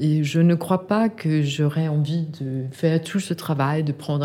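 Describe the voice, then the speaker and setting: Her voice is very deep and low, with a dark, mellow tone. The woman speaks at a fairly slow pace. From Denmark. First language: Danish (speaking French). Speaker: art gallery owner. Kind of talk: interview. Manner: halting.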